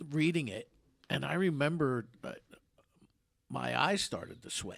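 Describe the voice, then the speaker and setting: A man's plain, everyday voice, fairly high in pitch, with lively intonation, big swings in loudness and a fairly slow pace. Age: 60s. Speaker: radio host. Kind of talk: casual chat. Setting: studio.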